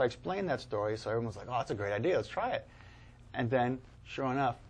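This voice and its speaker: Talking very fast with an American accent, a man at medium pitch uses lively intonation and vocal fry. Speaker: paranormal investigator and author. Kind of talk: casual chat. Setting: studio.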